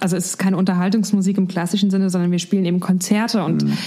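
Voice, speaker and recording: A woman's medium-pitched voice, very fast and monotone with flat intonation, against noticeable background noise. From Germany, Mainz area. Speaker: singer in a band. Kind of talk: casual interview.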